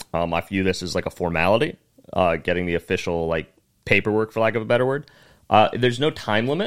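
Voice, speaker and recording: A man with a fairly low voice talks at a very fast pace with lively intonation, on a very clean recording with a silent background. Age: 20s. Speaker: comedian. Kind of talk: casual chat.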